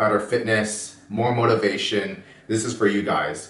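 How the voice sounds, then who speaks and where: The speech moves at a moderate pace with audible room echo. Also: man. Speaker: fitness channel host. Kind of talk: workout intro tutorial.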